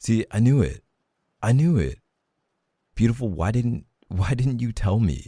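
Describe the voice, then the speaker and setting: Speaking at a fairly slow pace with long, frequent pauses, a man with a medium pitch uses lively intonation and a playful, warm tone, his voice dark, mellow and somewhat breathy on a very clean recording with a silent background. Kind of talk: romantic roleplay monologue, tender reassurance. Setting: ASMR roleplay audio, intimate close-mic. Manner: soft, warm, tender and reassuring, intimate, slow and sincere; playful and teasing, with laughs and sighs.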